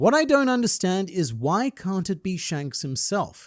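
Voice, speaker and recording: With an Australian accent, a man speaks at a moderate pace using very wide pitch swings. The recording is very clean, the background silent. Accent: Australian, milder than inland twang. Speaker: anime and manga commentator. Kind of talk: video essay narration with viewer comments.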